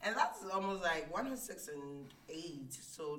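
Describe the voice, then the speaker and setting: Noticeable background noise runs beneath a woman's voice. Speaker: IT support manager and reading nonprofit founder. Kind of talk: personal testimony in interview.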